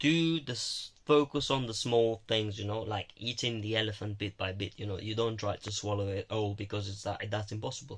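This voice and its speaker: On a very clean recording with a silent background, a somewhat breathy man speaks with hardly any pauses. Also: ordinary pitch variation. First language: Romanian. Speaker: university student vlogger. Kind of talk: casual vlog monologue. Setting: alone in own room. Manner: halting.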